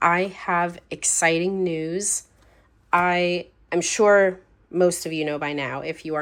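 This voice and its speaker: A woman with a fairly low pitch speaks at a very slow pace on a very clean recording with a silent background. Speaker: planner and journaling YouTuber. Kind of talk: casual vlog talk to camera.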